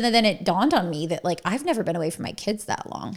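With a normal speaking voice, a woman talks at medium pitch with lively intonation. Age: 30s. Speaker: podcast co-host. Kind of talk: casual chat.

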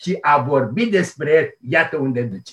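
A man at a very slow pace, his intonation lively. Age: 70s. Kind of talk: interview. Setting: remote call.

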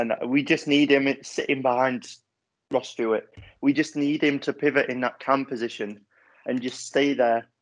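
A man with a normal speaking voice, fairly high pitch, fairly even intonation and a moderate pace over a quiet background. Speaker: football fan podcast guest. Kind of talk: casual chat.

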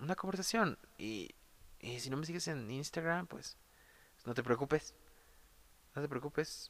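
The speaker, with a Mexico City accent, talks at a fairly slow pace with ordinary pitch variation. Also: man. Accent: Mexican Spanish (Mexico City). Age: 20s. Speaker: podcast host, art student. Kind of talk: solo monologue podcast. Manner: casual, hesitant with repetitions.

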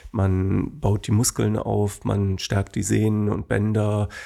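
In a very clean recording with a silent background, a man talks at a very slow pace, his fairly low, dark, mellow voice held to fairly even intonation. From Germany, Bonn (Rhineland). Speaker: dance school owner. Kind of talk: interview.

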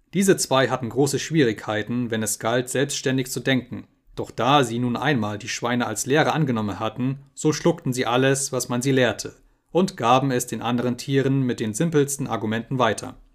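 A man has an unremarkable speaking voice at medium pitch. He talks at a moderate pace with ordinary pitch variation. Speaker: audiobook narrator. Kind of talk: dramatic audiobook narration.

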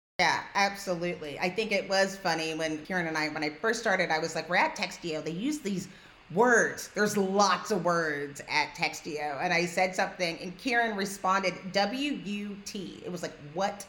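In an unremarkable speaking voice with an American accent, a woman at medium pitch talks at a moderate pace with ordinary pitch variation and hardly any pauses. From New York. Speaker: podcast host. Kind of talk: podcast conversation.

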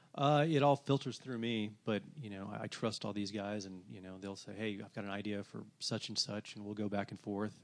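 A man's plain, everyday voice with an American accent and a fairly low pitch, ordinary pitch variation, big swings in loudness, a moderate pace and hardly any pauses. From US South, Atlanta, Georgia. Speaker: music blogger and record label owner. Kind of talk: casual interview.

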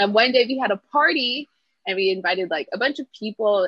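A woman with a Toronto accent and lively intonation. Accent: Canadian English (Toronto area). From Canada, Brampton Ontario. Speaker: street dancer. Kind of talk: casual interview.

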